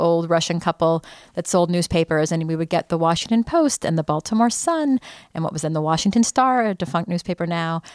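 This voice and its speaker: A woman with an American accent talks at a fairly quick pace in an ordinary speaking voice, fairly low in pitch with ordinary pitch variation, on a very clean, dry, close recording with a silent background and no echo. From United States. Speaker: journalist. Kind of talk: interview.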